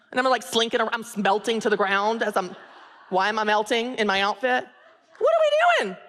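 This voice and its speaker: Speaking fairly quickly with an American accent, a woman has an animated tone, a fairly high pitch and ordinary pitch variation. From US South, Tennessee. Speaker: author and business coach, speaker. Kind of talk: inspirational talk. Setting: stage with audience.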